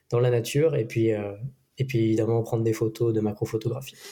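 Somewhat breathy male voice of medium pitch, dark and mellow in tone, with monotone, flat intonation at a moderate pace. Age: 20s. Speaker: social media automation specialist. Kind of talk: casual interview.

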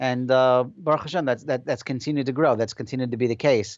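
The speaker has a New Jersey accent. The pace is very fast. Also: man. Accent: New Jersey American. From New Jersey, Passaic. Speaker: software company founder. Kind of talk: interview.

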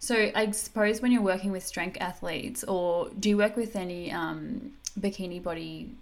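A woman with an Australian accent at a medium pitch and a moderate pace, with ordinary pitch variation. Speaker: podcast host and dietitian. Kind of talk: podcast interview.

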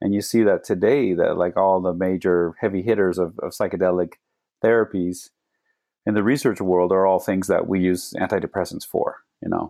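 A man with an American accent talks at a moderate pace in a very deep, low pitch. His intonation stays fairly even. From Phoenix, Arizona. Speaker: medical doctor. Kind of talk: interview conversation.

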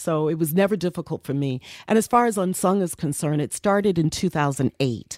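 A woman with an American accent, fairly quick pace and lively intonation, in a dry, close sound with no echo and a very clean recording over a silent background. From New York (Bronx, Harlem). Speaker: radio personality and music executive. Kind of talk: interview storytelling. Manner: soothing.

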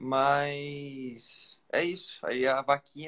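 The man here speaks with a fairly high pitch. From Brazil, interior of Rio de Janeiro state. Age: young. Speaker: young road cyclist. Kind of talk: interview. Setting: live stream on Instagram.

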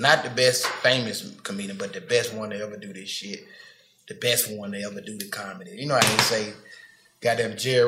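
The speech moves at a fairly quick pace in a Memphis accent, with big swings in loudness and fairly even intonation. Audible room echo surrounds it. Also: man. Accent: Southern US, Memphis. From Memphis, Tennessee. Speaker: comedian. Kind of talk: casual chat.

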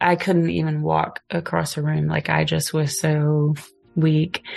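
A soft-spoken woman talks with an American accent. Her loudness stays very even. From Oklahoma, US. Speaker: podcast guest, photographer and singer. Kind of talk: casual chat. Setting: in person, two mics.

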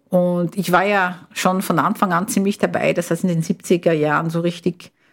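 With an ordinary speaking voice, a woman talks at a medium pitch and a moderate pace with ordinary pitch variation. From Brazil. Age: 60s. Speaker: retired biochemist. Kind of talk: interview. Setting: studio.

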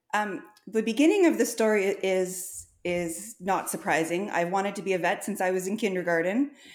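With a Canadian accent, a woman speaks at a medium pitch with ordinary pitch variation. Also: moderate pace. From Ontario, Canada. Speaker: large animal veterinarian. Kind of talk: casual interview.

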